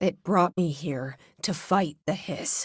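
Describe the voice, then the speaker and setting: Using a put-on character voice, a woman speaks raspily at a fairly slow pace, her fairly low pitch showing ordinary variation, with a dry, close sound and no echo. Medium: video game. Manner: low, reflective inner monologue.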